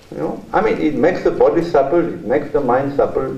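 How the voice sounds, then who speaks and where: A man with a French accent at a moderate pace, ordinary pitch variation, audible room echo and noticeable background noise. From France. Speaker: journalist and author, keynote speaker. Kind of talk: keynote lecture. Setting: university conference hall with audience.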